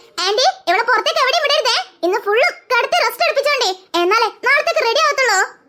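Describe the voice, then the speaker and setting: A woman's cartoonish character voice at an extremely high pitch, fairly quick, with very even loudness and lively intonation. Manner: calm, reassuring.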